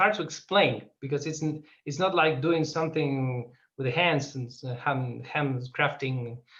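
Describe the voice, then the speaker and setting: At a fairly slow pace, a man talks in an Argentine accent. His pitch shows ordinary variation. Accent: Argentinian. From Argentina. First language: Spanish. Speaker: filmmaker. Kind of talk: interview. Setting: video call. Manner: halting.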